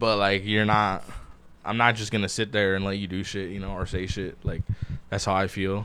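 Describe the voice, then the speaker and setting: At a moderate pace, a man with a fairly low pitch speaks in a bright, sharp tone. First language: Spanish. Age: 20s. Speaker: podcast co-host. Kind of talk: casual chat. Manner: animated.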